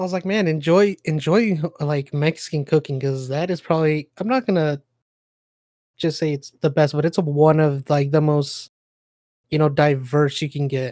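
Moderate pacing, a very clean recording, and a silent background. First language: not English. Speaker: podcast co-host.

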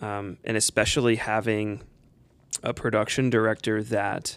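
A fairly slow, flat, monotone delivery in an American accent, on a very clean recording with a silent background. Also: man. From Perrysburg, Ohio. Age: 30s. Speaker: church music director. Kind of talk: casual chat.

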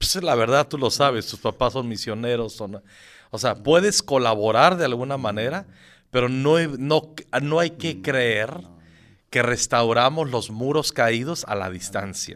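A man speaks at a fairly slow pace with a medium pitch and lively intonation, in an ordinary speaking voice. The recording is very clean, with a silent background. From Michoacán, Mexico. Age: 50s. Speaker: pastor. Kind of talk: interview.

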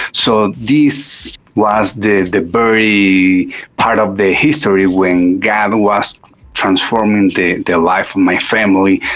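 A man's fairly low voice at a very slow pace, with very even loudness, ordinary pitch variation, and noticeable background noise. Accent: Spanish. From Mexico City, Mexico. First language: Spanish. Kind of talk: interview testimony.

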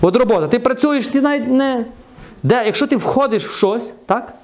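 Amid noticeable background noise and audible room echo, a man talks at a fairly quick pace in an animated tone. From western Ukraine, Truskavets. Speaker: preacher. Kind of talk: sermon.

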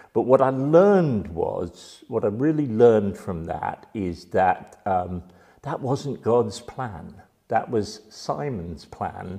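Speaking very slowly, a man has a dark, mellow tone at a medium pitch. His pitch swings very widely. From London, England. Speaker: church member giving testimony. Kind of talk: testimony. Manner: halting, many fillers.

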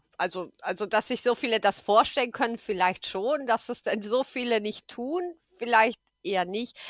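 A woman's fairly high voice at a moderate pace with ordinary pitch variation, on a very clean recording against a silent background. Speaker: podcast guest. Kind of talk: casual political chat. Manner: hesitant, many fillers.

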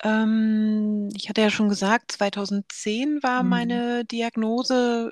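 A woman speaks at a medium pitch in a dry, close sound with no echo. The recording is very clean, with a silent background. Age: 40s. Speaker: podcast host, sarcoma patient advocate. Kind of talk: casual conversation.

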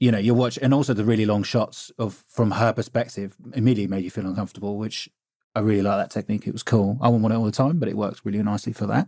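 A dark, mellow tone at a very fast pace, with fairly even intonation. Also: man, fairly low pitch for a man. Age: middle-aged. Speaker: podcast co-host, podcast producer. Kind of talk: casual chat. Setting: video call.

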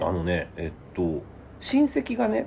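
This is a man speaking at a medium pitch. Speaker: writer and comedy sketch writer. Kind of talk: casual interview.

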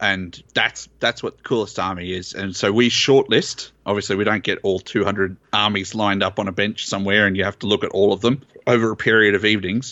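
In an Australian accent, a man talks fairly quickly at a fairly low pitch, keeping his intonation fairly even and hardly pausing. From Australia, southeast Queensland. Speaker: tournament organizer. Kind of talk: casual chat.

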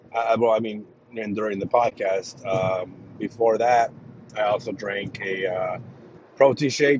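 Noticeable background noise sits behind a man whose medium-pitched voice keeps a fairly even intonation. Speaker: podcast host. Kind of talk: casual solo podcast chat. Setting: eating during recording.

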